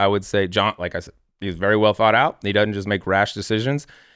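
A man's fairly low voice with an American accent, very fast pace and a quiet background. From Colorado, Denver. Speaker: golf podcast co-host, former pro golfer. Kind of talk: casual chat. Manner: casual, animated.

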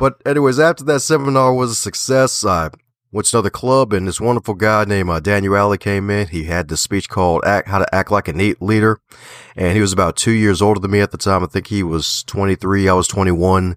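Animated and very fast, a man with a slight Southern US accent speaks at a fairly low pitch with ordinary pitch variation, his sound dry and close with no echo in a very clean recording with a silent background. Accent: American with a slight Southern twang. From Baltimore. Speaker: author, podcaster and speaker. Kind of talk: interview.

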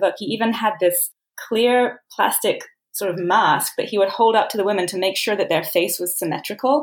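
A woman talks at a fairly quick pace in a plain, everyday voice. Her pitch is medium, with ordinary pitch variation. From England, then Southern California from age 14. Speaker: novelist. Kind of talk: casual interview.

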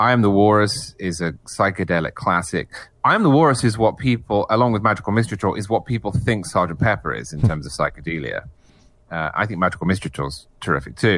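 A man speaks at a very fast pace with an English accent and a fairly low pitch. His intonation is lively, with vocal fry. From England. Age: 30s. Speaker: magazine editor and author. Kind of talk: casual chat.

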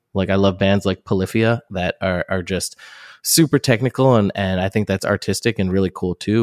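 With a normal speaking voice and an American accent, a man talks at a moderate pace and a fairly low pitch, recorded very cleanly against a silent background with a dry, close sound and no echo. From New Jersey. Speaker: rock band singer. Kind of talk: casual interview chat.

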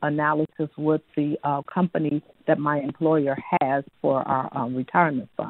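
A woman speaks in a very deep, low voice at a moderate pace. Her intonation stays fairly even. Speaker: caller, retiree. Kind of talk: call-in question. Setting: phone call.

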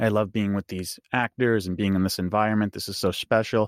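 With an American accent and fairly low pitch, a man talks at a fairly quick pace in a normal speaking voice. The recording is very clean, dry and close, with no echo and a silent background. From New York. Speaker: fan podcast co-host. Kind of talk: casual interview chat.

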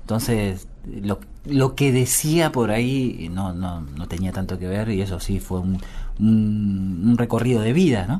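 Lively intonation comes through at a fairly slow pace, with audible room echo. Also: man, fairly low pitch for a man. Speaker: musician and bandleader. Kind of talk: interview. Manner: halting, many fillers and repetitions.

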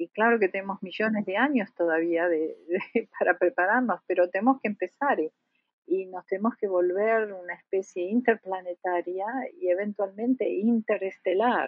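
In an Argentine accent, a woman speaks with ordinary pitch variation. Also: medium pitch for a woman, moderate pace. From Argentina. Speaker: planetary scientist. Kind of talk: interview.

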